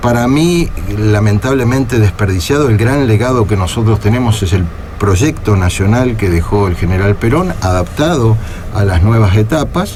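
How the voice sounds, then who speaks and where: Amid noticeable background noise and audible room echo, a man speaks at a moderate pace and fairly low pitch with lively intonation and very even loudness. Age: 60s. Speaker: party leader, politician. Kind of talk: radio interview. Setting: radio studio.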